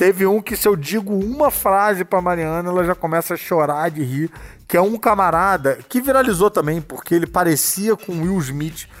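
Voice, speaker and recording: An animated man with a Brazilian accent talks at a moderate pace and high pitch, with ordinary pitch variation and hardly any pauses. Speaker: podcast host. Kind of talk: casual chat.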